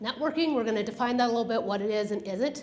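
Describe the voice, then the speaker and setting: A woman with a fairly high pitch and lively intonation, amid audible room echo and noticeable background noise. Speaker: business consultant giving a talk. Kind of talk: presentation to a professional group. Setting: room with live audience, using a microphone. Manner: fast when excited; animated.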